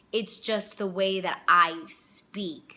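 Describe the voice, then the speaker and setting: With a bright, sharp tone, a woman speaks at a medium pitch and fairly slow pace, her intonation fairly even. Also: very clean recording, silent background. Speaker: vlogger. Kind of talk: casual monologue. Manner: confident tone.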